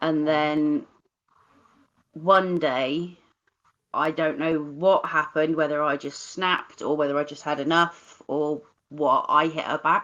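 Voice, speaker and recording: In a Cornish accent, a woman with a very deep, low voice talks fairly slowly in a flat monotone, leaving long, frequent pauses. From Cornwall, England (Bodmin). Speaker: live stream host. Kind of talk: casual chat.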